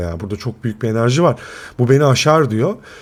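A man talks at a very fast pace in an animated tone, with very wide pitch swings. The recording is very clean, with a silent background. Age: 40s. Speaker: YouTube film reviewer. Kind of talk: casual monologue film review.

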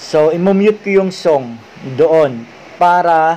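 A man speaks at a high pitch. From Philippines. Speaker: YouTuber; tutorial creator. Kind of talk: tutorial. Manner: halting, with many fillers. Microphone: webcam.

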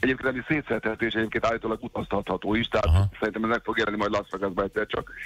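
A man speaks at a very fast pace. The sound is dry with no echo, and faint music plays in the background. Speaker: friend of the show reporting from a theatre show. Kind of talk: casual phone chat. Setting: phone call. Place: studio. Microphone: studio mic.

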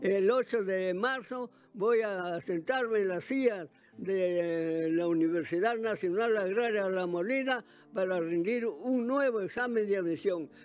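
The speech moves at a fairly slow pace with ordinary pitch variation, in a dry sound with no echo. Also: man, high pitch for a man. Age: 80s+. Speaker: industrial electronics graduate. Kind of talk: interview answer. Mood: cheerful, smiling. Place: home room. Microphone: handheld.

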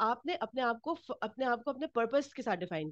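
A woman talks in a normal speaking voice at a moderate pace with ordinary pitch variation, in a dry, close sound with no echo and a quiet background. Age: 40s. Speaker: workshop instructor. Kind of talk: workshop lecture.

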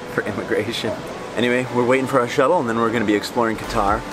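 Music plays in the background while a man speaks, his voice dry with no echo. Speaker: travel vlogger. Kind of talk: casual vlog chat. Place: hall. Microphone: phone near.

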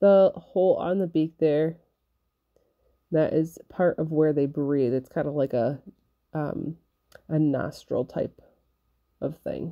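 Speech comes at a very slow pace with long, frequent pauses. Intonation is fairly even, over a quiet background. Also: woman, very deep, low pitch for a woman. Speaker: felting crafter and kit seller. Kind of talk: craft tutorial narration.

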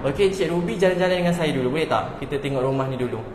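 A man with a Malaysian accent, high-pitched for a man, at a very fast pace with ordinary pitch variation over noticeable background noise. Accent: Malaysian Malay. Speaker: home builder sales representative. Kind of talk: live-stream house tour. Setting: outdoors. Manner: casual; chatty.

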